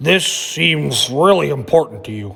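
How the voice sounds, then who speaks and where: In a put-on character voice, the speaker sounds raspy and moves at a moderate pace. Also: man. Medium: read story. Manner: warm, gentle.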